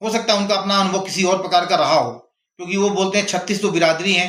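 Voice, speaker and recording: This is a man speaking at a high pitch. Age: 60s. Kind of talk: opinion monologue. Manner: impassioned.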